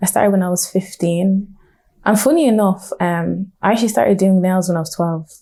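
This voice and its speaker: Speaking fairly quickly in a Dublin accent, a woman with a medium pitch sounds somewhat breathy and dark and mellow in tone, with ordinary pitch variation. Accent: Dublin Irish. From Dublin, Ireland (Blanchardstown). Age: 20s. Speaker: nail technician and entrepreneur. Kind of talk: interview. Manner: casual, many fillers.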